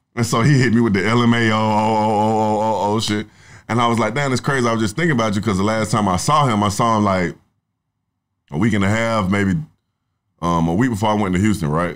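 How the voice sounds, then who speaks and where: Talking at a very fast pace, a man with a fairly low pitch keeps very even loudness and ordinary pitch variation on a very clean recording with a silent background. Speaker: songwriter and rapper. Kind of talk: casual chat.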